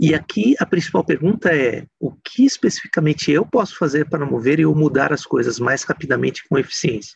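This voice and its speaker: Dry and close with no echo, a man's fairly high voice carries lively intonation and vocal fry. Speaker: speaker. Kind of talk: lecture.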